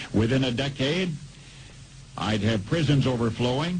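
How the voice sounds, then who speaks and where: A man speaks in a plain, everyday voice with an American accent. His pace is moderate and his pitch variation ordinary. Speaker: radio commentator. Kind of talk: radio commentary.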